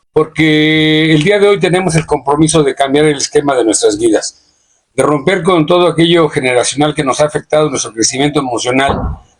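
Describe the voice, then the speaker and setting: Fairly quick in pace, a man speaks at a fairly high pitch with ordinary pitch variation and very even loudness. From Mexico, Sierra de Hidalgo. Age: 60s. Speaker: podcast guest. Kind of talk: reflective personal testimony. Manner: halting, frequent repetitions.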